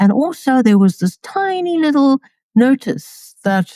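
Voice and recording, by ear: A woman with a dark, mellow tone speaks at a fairly slow pace with lively intonation, the sound dry and close with no echo.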